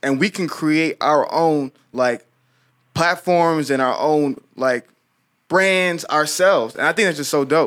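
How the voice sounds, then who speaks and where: A man with a fairly high pitch talks fairly slowly, his pitch varying in an ordinary way. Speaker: podcast host. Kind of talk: casual chat. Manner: energetic.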